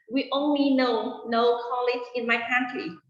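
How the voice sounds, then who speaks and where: Very slow speech with audible room echo. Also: woman. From Vietnam. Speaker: English teacher. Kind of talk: interview. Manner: halting, many fillers and repeats.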